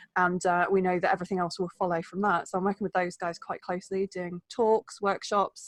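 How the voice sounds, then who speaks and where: A woman with an English accent talks fairly quickly at a medium pitch, hardly pausing. The sound is dry and close, with no echo. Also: quiet background. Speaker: wellbeing coach. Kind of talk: podcast interview. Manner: fast; animated.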